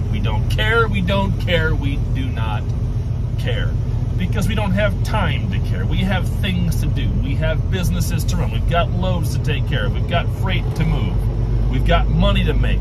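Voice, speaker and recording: A man at a fairly slow pace, with a dry sound with no echo and loud background noise. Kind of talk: casual vlog chat. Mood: irritated, ranting. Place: car. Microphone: phone near.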